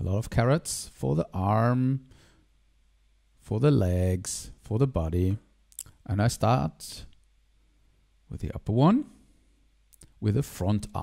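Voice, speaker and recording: In a German accent, a man talks at a very slow pace with long, frequent pauses. His tone is dark and mellow, and his intonation lively. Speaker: digital artist. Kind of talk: tutorial. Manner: halting.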